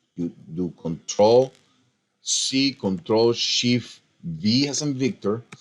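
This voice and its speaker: Speaking at a very slow pace with long, frequent pauses, a man with a non-native accent and medium pitch uses lively intonation. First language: not English. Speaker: design software tutorial maker. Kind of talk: screen-recorded tutorial. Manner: casual, animated; halting, with fillers.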